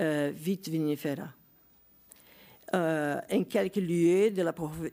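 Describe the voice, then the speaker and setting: A woman with a fairly low pitch and a dark, mellow tone talks very slowly, leaving long, frequent pauses. Her pitch varies in an ordinary way, and the recording is very clean with a silent background. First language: Portuguese (speaking French). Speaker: geography professor. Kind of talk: conference talk. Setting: conference with audience. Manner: halting, many hesitations.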